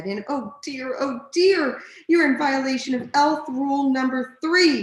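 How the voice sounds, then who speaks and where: A woman does a put-on character voice, high in pitch and at a fairly slow pace. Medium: read story. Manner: fretful, prim.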